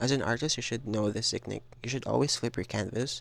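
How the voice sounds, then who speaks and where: Vocal fry runs through a man's medium-pitched voice as he talks at a fairly quick pace with ordinary pitch variation, on a very clean recording with a silent background. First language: not English. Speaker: digital artist. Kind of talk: casual voiceover narration of art process. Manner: hesitant, many filler ums; casual, repetitive phrasing.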